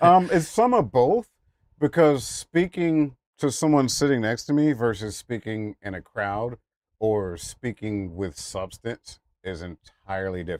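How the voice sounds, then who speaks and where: Fairly slow speech with very wide pitch swings and big swings in loudness, in a very clean recording with a silent background and a dry, close sound with no echo. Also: man. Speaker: content creator. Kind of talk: interview.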